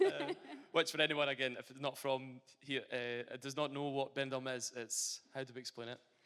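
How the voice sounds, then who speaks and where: A man with a Glaswegian accent talks at a moderate pace and medium pitch. His intonation stays monotone and flat while his loudness swings widely. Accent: Glaswegian, toned down. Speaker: footballer. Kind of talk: interview on stage. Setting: stage with audience.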